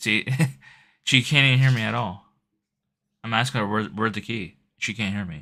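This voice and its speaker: A man mumbles at a fairly quick pace with long, frequent pauses, his fairly low voice bright and sharp in tone, with vocal fry and ordinary pitch variation. The recording is very clean, with a silent background. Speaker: IRL live streamer. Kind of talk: casual chat. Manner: mumbling.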